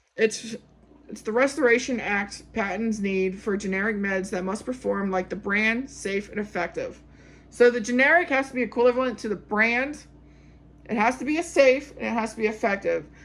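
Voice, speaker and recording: At a moderate pace, a woman uses a normal speaking voice, fairly high in pitch and with ordinary pitch variation. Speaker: pharmacy technician exam tutor. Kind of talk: tutorial. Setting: recording at a whiteboard.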